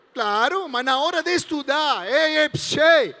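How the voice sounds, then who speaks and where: A man with an Argentine accent projects an extremely high, bright, sharp voice at a fairly slow pace, with ordinary pitch variation. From Argentina, Entre Ríos. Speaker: pastor. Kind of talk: sermon to youth event. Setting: stage with audience. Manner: animated, joking.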